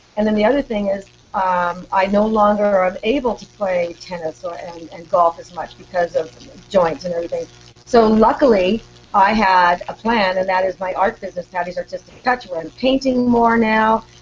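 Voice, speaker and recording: Moderate pace and medium pitch from a female speaker, with ordinary variation in pitch, noticeable background noise behind her. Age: 60s. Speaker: author and retired teacher. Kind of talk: interview.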